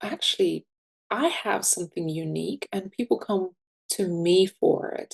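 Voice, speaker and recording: A woman talks at a fairly slow pace. The sound is dry and close, with no echo. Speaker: professional speaker and coach. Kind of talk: interview conversation. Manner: calm, not loud.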